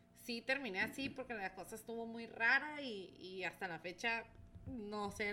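A woman speaks with a Mexican accent at a fairly slow pace. Her pitch is fairly high, with ordinary variation and a bright, sharp tone. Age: 30s. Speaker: entrepreneur. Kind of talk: casual chat.

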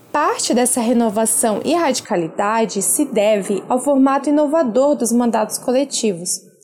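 A woman talks with lively intonation and hardly any pauses. Her pitch is high, and noticeable background noise sits behind her. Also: moderate pace, very even loudness. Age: 20s. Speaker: activist and political candidate. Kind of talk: prepared statement. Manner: formal.

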